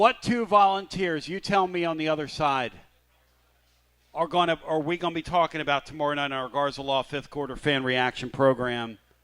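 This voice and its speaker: Shouting loudly at a fairly quick pace, a man uses a fairly high pitch with ordinary pitch variation. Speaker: sports radio host. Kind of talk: live sports talk show. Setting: live broadcast at a riverside restaurant. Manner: loud, yelling.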